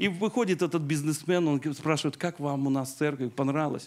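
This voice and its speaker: Speaking at a moderate pace, a man uses a fairly high pitch and ordinary pitch variation. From Belarus. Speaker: pastor; preacher. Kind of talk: sermon. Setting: church. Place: church. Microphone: handheld.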